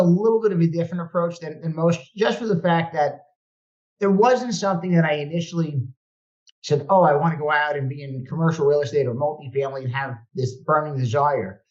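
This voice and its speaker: A man's high-pitched voice, with lively intonation and a fairly quick pace. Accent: Brooklyn. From New York (Brooklyn). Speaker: real estate investor. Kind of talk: podcast interview.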